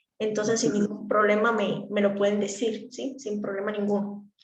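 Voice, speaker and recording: A woman's speech carries audible room echo. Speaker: speech therapy instructor. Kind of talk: lecture. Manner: fast.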